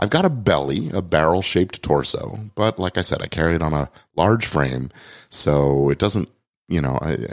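In a very deep, low pitch with vocal fry, a man speaks with ordinary pitch variation in a dry, close sound with no echo. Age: 50s. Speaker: podcast host, lawyer and coach. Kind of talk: solo podcast monologue. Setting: recorded on video and livestream.

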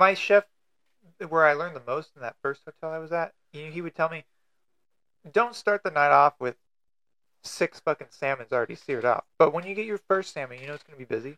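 Spoken at a fairly quick pace with an American accent, the voice shows ordinary pitch variation, big swings in loudness and long, frequent pauses, all in a dry, close sound with no echo. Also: man, fairly high pitch for a man. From California. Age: 30s. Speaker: cook and engineering student. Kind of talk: casual chat. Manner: soft-spoken.

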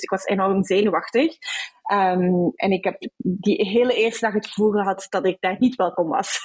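A woman's medium-pitched voice, fairly slow in pace, with fairly even intonation. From Belgium, Brussels. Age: 20s. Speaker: HR professional. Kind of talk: interview. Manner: hesitant, many fillers.

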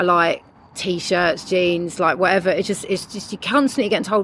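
With a London accent, a woman talks at a moderate pace and medium pitch, her pitch varying in an ordinary way. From London, England. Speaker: musician. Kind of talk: casual chat. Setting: outdoors.

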